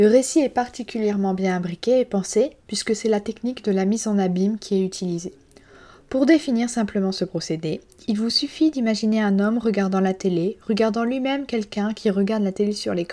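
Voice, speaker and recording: In a French accent, a woman with a dark, mellow tone and fairly high pitch talks at a fairly quick pace with ordinary pitch variation. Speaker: literature podcast host. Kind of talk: scripted book review monologue. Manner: hesitant, with fillers.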